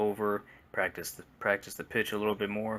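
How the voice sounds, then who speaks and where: A soft-spoken man's fairly low voice with a bright, sharp tone. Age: 20s. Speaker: gaming YouTuber. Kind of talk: casual rant monologue. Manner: halting, repetitive.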